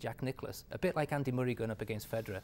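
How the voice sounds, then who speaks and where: In a very clean recording with a silent background, a man of medium pitch with an English accent talks at a very fast pace. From England. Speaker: author and businessman. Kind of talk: interview.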